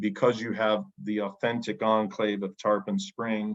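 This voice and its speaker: Speaking fairly slowly, a man talks in an American accent. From United States. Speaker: academic and author being interviewed. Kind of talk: oral history interview.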